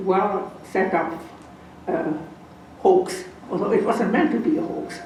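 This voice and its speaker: A woman with a non-native accent speaks at a fairly slow pace. Audible room echo and noticeable background noise fill the recording. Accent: foreign. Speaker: Holocaust survivor and lecturer. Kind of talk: lecture.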